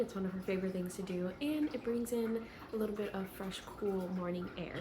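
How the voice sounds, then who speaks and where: A soft-spoken woman at a medium pitch talks with ordinary pitch variation, with audible room echo and noticeable background noise. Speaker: lifestyle vlogger. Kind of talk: casual vlog narration.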